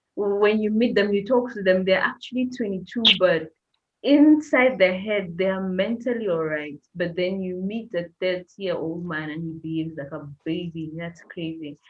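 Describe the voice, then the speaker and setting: In a plain, everyday voice at medium pitch, a woman talks at a moderate pace, her intonation lively and her loudness swinging widely. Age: 30s. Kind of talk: casual chat.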